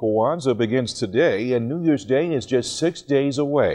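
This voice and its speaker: With an American accent, a man speaks in a dark, mellow tone with ordinary pitch variation. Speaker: television news anchor. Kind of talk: television news anchor read.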